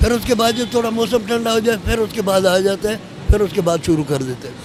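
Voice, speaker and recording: A man with a high pitch, over noticeable background noise. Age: 70s. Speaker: gardener. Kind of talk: interview answer.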